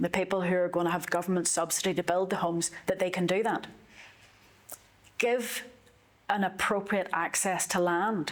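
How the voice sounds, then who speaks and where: Speaking at a moderate pace with fairly even intonation, a woman with a Northern Irish accent leaves long, frequent pauses. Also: medium pitch for a woman. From Northern Ireland. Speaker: politician. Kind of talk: interview.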